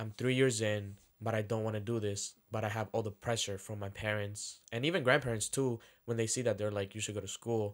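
A man's fairly low, monotone voice, flat in intonation, at a fairly quick pace. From Dominican-American household. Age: 20s. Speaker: podcast co-host. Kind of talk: casual chat.

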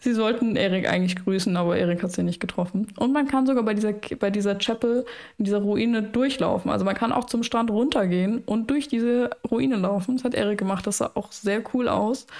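Noticeable background noise sits under speech that moves at a fairly quick pace, with very even loudness and ordinary pitch variation. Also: woman, fairly high pitch for a woman. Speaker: podcast host. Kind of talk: casual chat.

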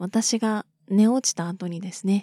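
The tone is dark and mellow, with fairly even intonation. The sound is dry and close with no echo, and the recording is very clean over a silent background. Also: woman. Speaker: solo podcaster. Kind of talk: casual monologue.

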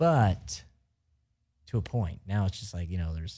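A man with an American accent speaks in a very deep, low voice with a dark, mellow tone, somewhat breathy, at a moderate pace on a very clean recording with a silent background. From US Midwest (Missouri). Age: 30s. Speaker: radio co-host. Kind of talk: casual chat.

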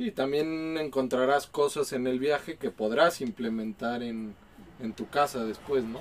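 Fairly slow speech from a man with a Mexico City accent, medium pitch and ordinary pitch variation. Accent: Mexican Spanish (Mexico City). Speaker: podcast host. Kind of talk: casual chat over beers.

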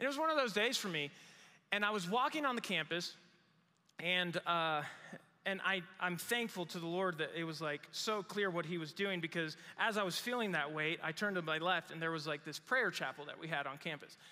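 A man's bright, sharp, animated voice, high-pitched, with ordinary pitch variation and a fairly quick pace. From Mexico. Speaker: pastor. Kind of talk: sermon. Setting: church service in a small room.

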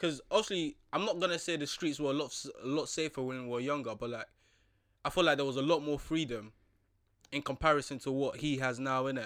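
A man's fairly high voice at a very fast pace, ordinary pitch variation, very clean recording with a silent background. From Nigeria, then London. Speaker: podcast host. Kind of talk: casual chat. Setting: studio.

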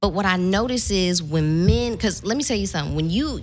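Lively intonation and vocal fry mark this woman's speech at a moderate pace. The recording is very clean, with a silent background. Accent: American. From Southern California. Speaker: social media influencer and online course instructor. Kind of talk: casual chat.

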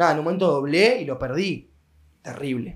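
A man with a Rioplatense accent talks with lively intonation. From Argentina, Mar del Plata. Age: 20s. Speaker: restaurant owner. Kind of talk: casual chat.

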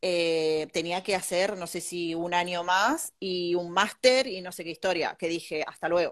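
Against a quiet background, a woman speaks in a fairly low voice. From Argentina, Bahía Blanca. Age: 30s. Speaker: architect. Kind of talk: interview.

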